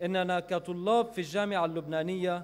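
With fairly even intonation and a moderate pace, a man talks at a high pitch. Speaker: speaker. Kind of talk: formal speech. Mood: earnest, critical. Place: hall. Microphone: podium.

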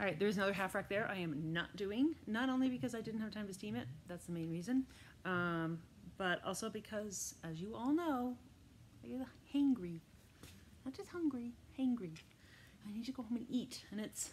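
A woman talks at a fairly quick pace with lively intonation. Her voice is somewhat breathy, with light background noise. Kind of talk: casual vlog chat. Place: shop. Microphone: phone near.

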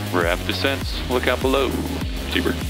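Clear music fills the background. Over it, a man talks. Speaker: flight instructor pilot. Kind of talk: instruction and radio calls. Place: plane. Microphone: headset.

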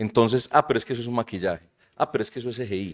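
The speaker has a Medellín Colombian accent. The background is quiet. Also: man. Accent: Colombian paisa (Medellín) Spanish. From Colombia, Medellín. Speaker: university lecturer and shop owner; university lecturer. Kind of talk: casual chat. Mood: relaxed, enthusiastic. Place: studio. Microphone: studio mic.

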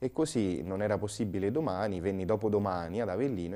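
A man's very deep, low voice with a dark, mellow tone, ordinary pitch variation and a moderate pace. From central Italy (Umbria). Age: 30s. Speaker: priest; priest guest. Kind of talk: interview; interview answer. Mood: calm, earnest, at times grave. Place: studio. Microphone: lapel.

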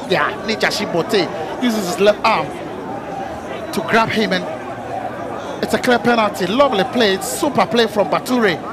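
Crowd noise fills the background as a man speaks at a moderate pace. His tone is enthusiastic, and his high pitch shows ordinary variation. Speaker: football pundit, co-commentator. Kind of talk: analytical co-commentary on match replays. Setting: commentary position at stadium. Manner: enthusiastic, gushing superlatives over replays; repetitive, piling up praise phrases.

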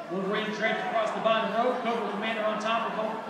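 The voice moves at a fairly quick pace amid noticeable background noise and audible room echo. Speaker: wrestling match commentator. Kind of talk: live wrestling commentary. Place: hall.

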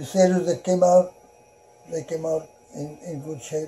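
A man with a high pitch, at a fairly slow pace and with fairly even intonation. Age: 90s. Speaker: World War II Navy veteran, rancher. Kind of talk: interview answer. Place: home room.

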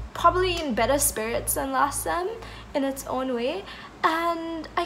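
Behind the voice, music is playing. The speaker is a woman. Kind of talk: casual vlog chat. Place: home room. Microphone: phone near.

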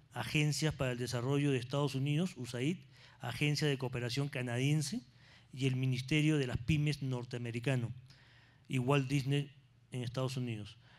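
Fairly quick delivery with fairly even intonation, on a very clean recording with a silent background. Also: man. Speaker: panel moderator, finance executive. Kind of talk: panel moderation and speaker introductions.

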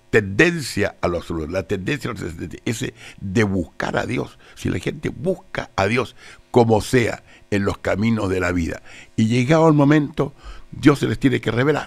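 With faint music in the background, a man talks at a moderate pace and swings his pitch very widely. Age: 80s+. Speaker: theologian and lawyer; guest. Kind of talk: radio interview. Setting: radio studio. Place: studio. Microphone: studio mic.

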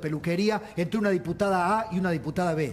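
A man talks with a high pitch and ordinary pitch variation. Light background noise can be heard. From Argentina. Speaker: TV news host. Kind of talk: TV panel interview. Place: studio. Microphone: lapel.

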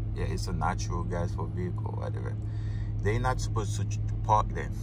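The pace is moderate, and the sound is dry with no echo. Noticeable background noise runs underneath. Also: man. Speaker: truck driver vlogger. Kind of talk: casual vlog chat. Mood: mildly annoyed. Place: car. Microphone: phone near.

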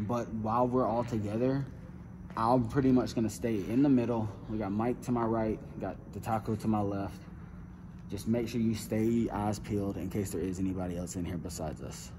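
The speech moves at a fairly quick pace with fairly even intonation over noticeable background noise. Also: man, fairly low pitch for a man. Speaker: ghost-hunting vlogger. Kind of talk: casual vlog chat. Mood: cautious, slightly tense. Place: hall. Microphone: phone near.

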